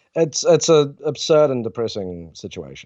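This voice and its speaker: The speaker is a man. He talks with a New Zealand accent. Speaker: journalist. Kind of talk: interview.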